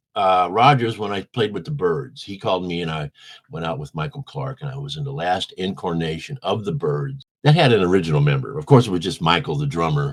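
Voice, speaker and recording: Speaking in a Midwestern American accent, a man moves through very wide pitch swings. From US Midwest, St. Louis, Missouri. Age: 70s. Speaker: musician, band bassist. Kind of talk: interview. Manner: animated.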